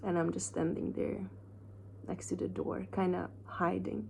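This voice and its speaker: A woman speaks at a fairly slow pace in a very deep, low pitch with a dark, mellow tone. Her voice is somewhat breathy and makes very wide pitch swings. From Hungary. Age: 40s. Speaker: self-help vlogger. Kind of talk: personal vlog. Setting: hotel room.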